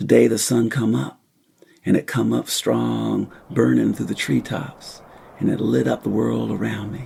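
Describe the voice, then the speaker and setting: Putting on a raspy character voice with a slight Southern US accent, a man talks at a moderate pace in a very deep, low pitch. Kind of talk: dramatic monologue. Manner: slow, poetic.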